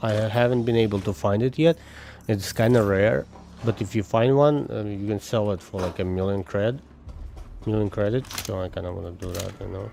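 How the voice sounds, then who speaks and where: A man with a fairly low pitch and ordinary pitch variation talks at a fairly quick pace. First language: not English. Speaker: gaming streamer. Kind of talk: casual live-stream gameplay chat. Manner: casual, thinking aloud with fillers.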